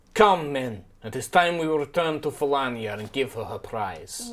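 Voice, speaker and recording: A put-on, growling character voice from a man, fairly high in pitch, at a moderate pace. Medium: actual play. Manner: menacing.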